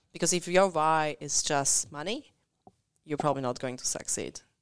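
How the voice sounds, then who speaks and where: Long, frequent pauses break up speech in an Eastern European accent. The pitch varies in an ordinary way, and the recording is very clean with a silent background. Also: woman. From Central or Eastern Europe. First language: Eastern European language. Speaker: community radio co-host. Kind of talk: casual chat. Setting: radio studio. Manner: fast talker.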